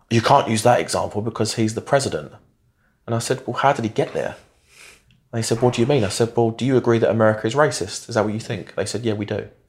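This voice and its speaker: The recording is very clean, with a silent background. A man with a medium-pitched, somewhat breathy voice speaks very fast in fairly even intonation. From East London (Barking). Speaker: former political party staffer turned commentator. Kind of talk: casual interview chat.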